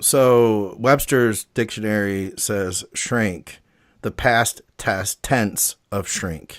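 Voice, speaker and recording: In a Midwestern accent, a man speaks very slowly at a fairly low pitch with ordinary pitch variation, captured in a very clean recording with a silent background. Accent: Midwest, nasal A's. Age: 40s. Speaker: bodybuilding podcast co-host. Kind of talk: casual chat.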